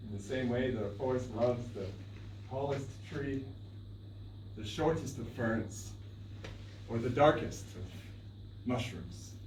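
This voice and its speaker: A man talks at medium pitch. Noticeable noise sits in the background. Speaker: storyteller. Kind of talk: live storytelling performance. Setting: live stage performance.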